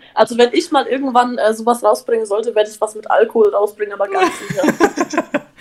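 Over noticeable background noise, a woman with a high pitch speaks very fast, hardly pausing, her loudness swinging widely. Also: lively intonation. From Upper Franconia, Bavaria (Bamberg area). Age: 19. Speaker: influencer and reality TV participant. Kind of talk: casual chat.

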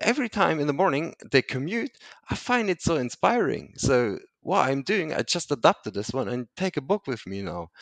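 A man with a non-native accent speaks at a moderate pace, his pitch swinging very widely and his voice showing vocal fry. The background is quiet, and the sound is dry and close with no echo. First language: not English. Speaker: entrepreneur, founder of digital detox platform. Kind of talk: casual interview. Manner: halting, many fillers.

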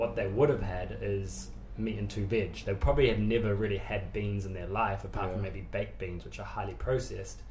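A man talks at a fairly quick pace with a New Zealand accent. Some room echo can be heard. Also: hardly any pauses. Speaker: nutritionist and personal trainer. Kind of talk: casual interview chat.

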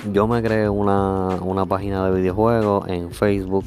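With a Puerto Rican accent, a man talks at a fairly slow pace in a very deep, low pitch, his intonation fairly even and audible room echo around him. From Puerto Rico. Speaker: podcaster and amateur musician. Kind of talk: casual monologue. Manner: halting, many fillers.

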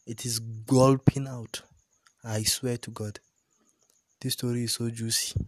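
In a dry, close sound with no echo, a somewhat breathy man speaks in a monotone, flat intonation with big swings in loudness and long, frequent pauses. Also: medium pitch for a man, fairly slow pace. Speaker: solo podcaster. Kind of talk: casual monologue.

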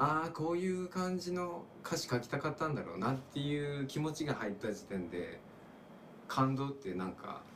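Against noticeable background noise and audible room echo, a man with a fairly high pitch talks at a moderate pace while his pitch swings very widely. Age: 30s. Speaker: musician. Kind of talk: casual chat. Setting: small room at a home.

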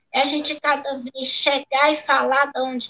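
A woman's high-pitched voice is raised and projected, bright and sharp in tone, with a dry, close sound and no echo. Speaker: guest, Afro-Brazilian religion follower. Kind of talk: panel discussion.

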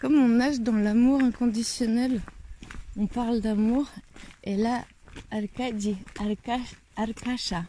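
Woman's fairly high voice with a dark, mellow tone, fairly even intonation and a very slow pace broken by long, frequent pauses. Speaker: travel podcaster walking a pilgrimage. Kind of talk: travel diary monologue.

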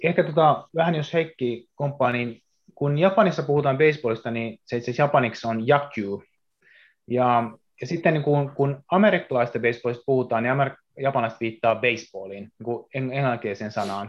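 An unremarkable speaking voice from a man, medium in pitch, with ordinary pitch variation and a moderate pace. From Japan. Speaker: baseball player. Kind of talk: casual chat.

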